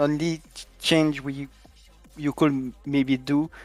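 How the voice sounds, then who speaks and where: Very slowly, the speaker talks with a non-native accent while music plays in the background. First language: not English. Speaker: esports team captain. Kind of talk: interview. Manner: halting.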